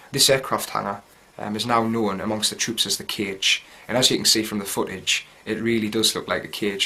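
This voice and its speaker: Speaking at a fairly quick pace, a man with a Geordie accent has a fairly low pitch. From North East England, Gateshead. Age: 20s. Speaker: soldier. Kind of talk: video diary. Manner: casual, hesitant with fillers.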